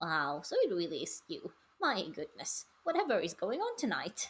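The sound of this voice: A put-on character voice with a fairly high pitch speaks at a moderate pace.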